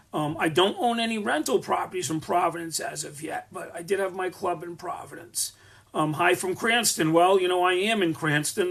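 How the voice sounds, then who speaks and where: In a Rhode Island accent, a man with high pitch talks at a moderate pace, with ordinary pitch variation and big swings in loudness. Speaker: landlord and business owner. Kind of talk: live stream Q&A. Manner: casual, many fillers.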